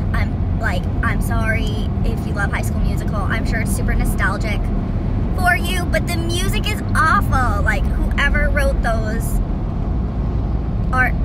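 A woman at a fairly slow pace, with long, frequent pauses, a dry sound with no echo and loud background noise. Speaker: vlogger. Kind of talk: casual rant to camera. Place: car. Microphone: phone near.

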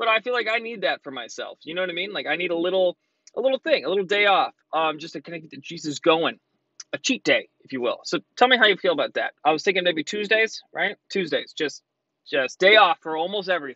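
A man talking at a very fast pace, the sound dry with no echo and the background quiet. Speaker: vlogger. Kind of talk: casual vlog chat. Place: car. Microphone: phone near.

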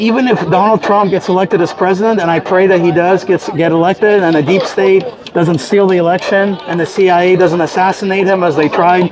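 The man's delivery is fairly quick. Background noise is noticeable throughout. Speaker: street preacher. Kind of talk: street sermon. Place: street.

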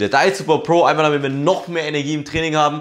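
Against a quiet background, a man is speaking. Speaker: fitness content creator. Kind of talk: casual vlog chat. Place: home room. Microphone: lapel.

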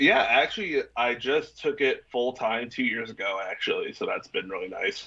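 A man at a moderate pace with hardly any pauses, over a quiet background. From Minnesota. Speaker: vocalist and music promoter; interview guest. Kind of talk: casual interview. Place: home room. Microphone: video call.

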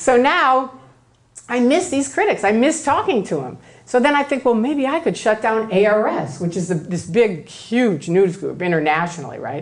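An animated woman with an American accent, fairly high pitch and very wide pitch swings, in audible room echo. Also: moderate pace. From US Midwest, Chicago. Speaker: former Scientologist, speaker. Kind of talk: lecture.

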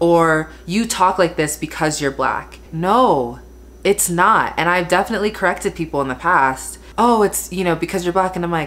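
A woman talks at a moderate pace with fairly low pitch and ordinary pitch variation. Her voice has vocal fry. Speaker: beauty vlogger. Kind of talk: casual vlog chat. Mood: frustrated, emphatic. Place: home room. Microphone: phone near.

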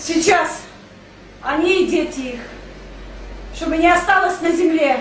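An angry tone at a fairly slow pace, with ordinary pitch variation and noticeable background noise. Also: woman. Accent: Saint Petersburg. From Saint Petersburg, Russia. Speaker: bereaved mother of a protester. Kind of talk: emotional testimony to camera. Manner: angry, emotional.

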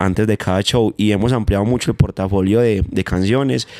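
A man's fairly low voice in a paisa accent, very fast, with ordinary pitch variation, over a quiet background. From Manizales, Colombia; Colombia. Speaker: urban music artist; guest. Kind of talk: interview. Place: home room. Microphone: handheld.

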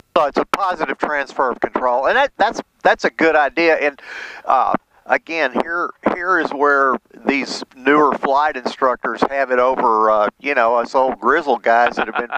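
Noticeable background noise around a man at a moderate pace, with ordinary pitch variation and a dry sound with no echo. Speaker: flight instructor in back seat. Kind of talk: casual conversation. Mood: reflective, relaxed. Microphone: headset.

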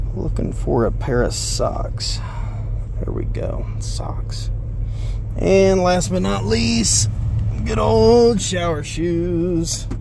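A man at a very slow pace with long, frequent pauses over noticeable background noise. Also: dry sound with no echo. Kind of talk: casual vlog chat. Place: car. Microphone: phone near.

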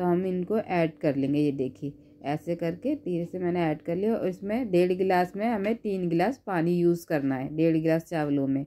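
At a fairly slow pace, this dark, mellow voice shows ordinary pitch variation. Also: woman. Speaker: cooking YouTuber. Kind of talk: cooking tutorial. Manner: animated.

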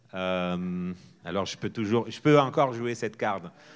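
This is a man's voice. He speaks with a Portuguese accent. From northern Portugal. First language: Portuguese (speaking French). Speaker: festival director and theatre artist; guest. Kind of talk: public talk. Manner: informal, hesitant with fillers. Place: stage. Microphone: handheld.

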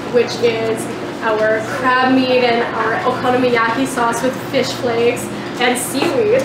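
A woman's voice amid loud background noise and audible room echo. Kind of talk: interview answer. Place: cafe.

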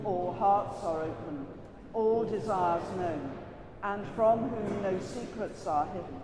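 A fairly slow delivery over noticeable background noise. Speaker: priest leading prayers. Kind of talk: liturgical prayer. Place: church.

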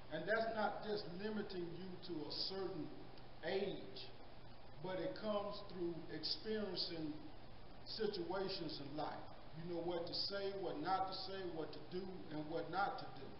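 A man with a high pitch and fairly even intonation, at a fairly slow pace with long, frequent pauses, amid noticeable background noise and audible room echo. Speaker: Sunday school teacher. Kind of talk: sermon-like lesson. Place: church. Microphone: handheld.

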